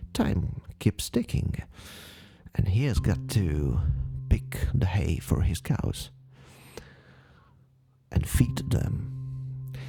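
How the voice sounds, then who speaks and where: Very slowly and with long, frequent pauses, a man speaks at a very deep, low pitch that makes very wide swings. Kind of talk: paranormal case narration. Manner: soft-spoken, slow.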